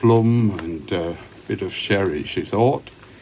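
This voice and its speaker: Over noticeable background noise, a man talks in a relaxed tone. He has a Yorkshire accent and ordinary pitch variation. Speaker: pipe smoker. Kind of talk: casual talk to camera. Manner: relaxed, conversational.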